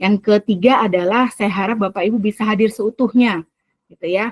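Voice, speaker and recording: A woman speaks at a moderate pace with ordinary pitch variation, her voice shrill and somewhat breathy. The sound is dry and close, with no echo. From Central Java (Semarang), Indonesia. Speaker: teacher trainer / facilitator. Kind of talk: online training session. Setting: video call. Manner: lively, engaging.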